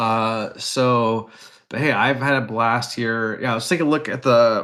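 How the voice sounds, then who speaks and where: Fairly slow and with fairly even intonation, a man speaks with a Wisconsin accent on a very clean recording with a silent background. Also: medium pitch for a man. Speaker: esports/card game caster. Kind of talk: live commentary.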